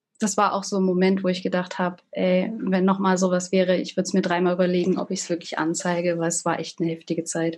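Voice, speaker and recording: A woman at medium pitch and moderate pace, with monotone, flat intonation. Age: 20s. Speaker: social work student. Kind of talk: interview.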